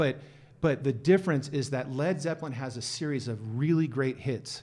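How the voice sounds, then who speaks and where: A man's fairly high voice with a dark, mellow tone, somewhat breathy, at a fairly quick pace. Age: 50s. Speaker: HR and compensation consultant. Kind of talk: casual chat.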